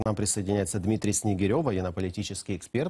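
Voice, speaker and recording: Against a quiet background, the voice is somewhat breathy with a dark, mellow tone. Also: man. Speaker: TV news presenter. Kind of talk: TV news interview. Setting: studio. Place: studio. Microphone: lapel.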